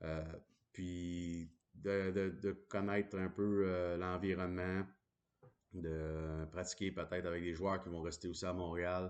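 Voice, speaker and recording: Against a quiet background, the voice moves at a very slow pace in a flat monotone. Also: man, very deep, low pitch for a man. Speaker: hockey commentator. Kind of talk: casual monologue. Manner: hesitant, many fillers.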